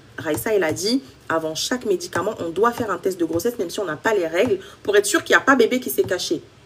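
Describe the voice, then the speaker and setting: Lively intonation marks a woman's fairly quick delivery. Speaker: women's health coach. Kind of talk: live stream Q&A. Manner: fast.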